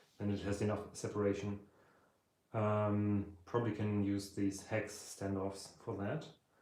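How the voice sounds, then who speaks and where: A man with a German accent at a fairly slow pace, fairly low in pitch, with a dark, mellow tone, monotone, flat intonation and audible room echo. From Germany. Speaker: electronics hobbyist streamer. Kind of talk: live stream tutorial.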